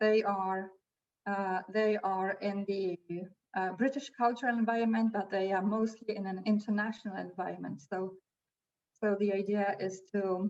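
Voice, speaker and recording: At a moderate pace, a woman with a non-native accent speaks at a medium pitch with fairly even intonation. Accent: non-native English speaker. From Poland. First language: Polish. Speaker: language school teacher. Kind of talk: webinar presentation.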